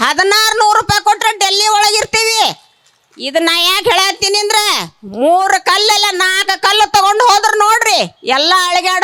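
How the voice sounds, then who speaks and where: A woman projects a raised voice at an extremely high pitch, keeping her loudness very even. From Haveri district, north Karnataka. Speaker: rural wage labourer and protester. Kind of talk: protest speech. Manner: animated, impassioned.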